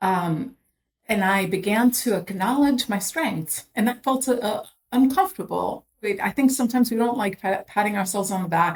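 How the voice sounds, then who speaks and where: A woman's voice comes through somewhat breathy. Her pitch varies in an ordinary way. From immigrant to US. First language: not English. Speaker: former HR executive and board member. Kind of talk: interview. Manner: halting.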